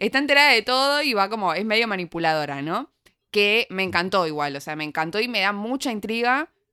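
In a very clean recording with a silent background and a dry, close sound with no echo, a woman with a medium pitch talks at a fairly quick pace, her animated, bright, sharp tone making very wide pitch swings. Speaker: podcast co-host. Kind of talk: casual review chat.

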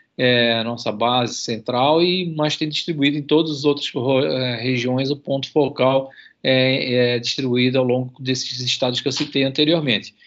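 This man speaks with a Santa Catarina accent at a moderate pace. His pitch is medium and his intonation fairly even. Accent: Santa Catarina (manezinho). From Santa Catarina, Brazil (Itajaí). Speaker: university professor and marine conservation researcher. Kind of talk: radio interview. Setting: remote radio interview.

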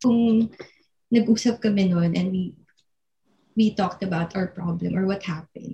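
A woman's voice is somewhat breathy, with a dark, mellow tone and fairly even intonation. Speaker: podcast co-host. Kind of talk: casual chat.

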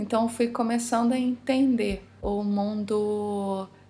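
A somewhat breathy woman speaks very slowly at a fairly high pitch. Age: 30s. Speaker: holistic decor specialist. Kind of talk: casual interview.

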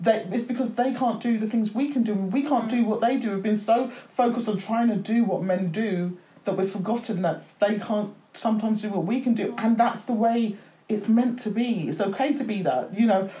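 This woman has an unremarkable speaking voice, fairly high in pitch with ordinary pitch variation. She talks at a fairly quick pace. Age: 50s. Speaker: author. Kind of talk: casual chat.

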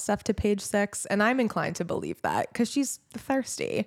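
In a very clean, dry, close recording with a silent background and no echo, a woman with an American accent speaks at a fairly quick pace in an unremarkable speaking voice, fairly high in pitch with ordinary pitch variation. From New Jersey. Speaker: podcast co-host. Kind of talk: casual chat.

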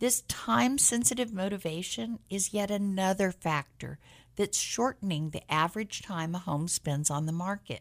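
In a very clean recording with a silent background, a woman with an American accent and an ordinary speaking voice talks at a moderate pace and medium pitch with lively intonation. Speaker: real estate agent and radio host. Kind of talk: radio talk show, conversational but polished. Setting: radio studio, live broadcast.

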